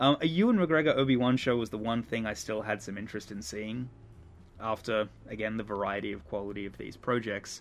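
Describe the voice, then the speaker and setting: Music plays behind a man speaking at a fairly quick pace and medium pitch. His pitch varies in an ordinary way, while his loudness swings widely. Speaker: podcast host. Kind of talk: casual chat about movies.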